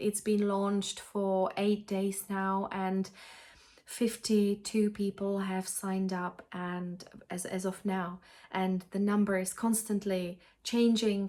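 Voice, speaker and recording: Speaking very slowly with a Czech accent, a woman keeps a monotone, flat intonation at a medium pitch, her tone dark and mellow. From Czech Republic. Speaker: cross-stitch vlogger. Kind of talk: casual vlog chat. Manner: halting, many fillers and restarts.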